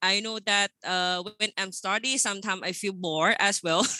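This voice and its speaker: With a Thai accent, a woman talks at a moderate pace with hardly any pauses, using a medium pitch, ordinary pitch variation and a bright, sharp tone in a dry, close sound with no echo. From Thailand. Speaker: engineer, project manager. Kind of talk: webinar presentation. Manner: casual, friendly.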